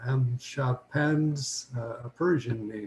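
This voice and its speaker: The voice is somewhat breathy with a dark, mellow tone. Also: man. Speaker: lecturer on anthroposophy. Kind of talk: lecture. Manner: hesitant with frequent fillers.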